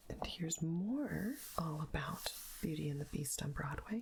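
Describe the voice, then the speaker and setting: A soft-spoken woman talks at a very slow pace. Her voice is somewhat breathy, with a soothing tone. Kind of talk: ASMR soft-spoken magazine page turning. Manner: soft-spoken, soothing.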